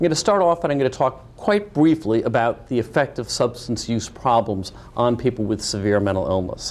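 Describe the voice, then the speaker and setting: Pitched in the middle range, a man's voice has lively intonation. He talks at a fairly quick pace with hardly any pauses. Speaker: professor and mental health researcher. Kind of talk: lecture. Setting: webcast presentation. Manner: fast.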